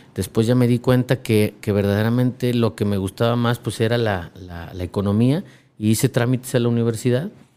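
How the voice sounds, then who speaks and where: Dark and mellow in tone, a man's voice comes through a very clean recording with a silent background. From Mexico, Lagos de Moreno, Jalisco. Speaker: finance company director, economist. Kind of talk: interview.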